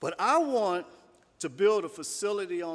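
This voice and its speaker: The voice swings very widely in pitch on a very clean recording with a silent background. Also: man. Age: 60s. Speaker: farmer. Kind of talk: public talk.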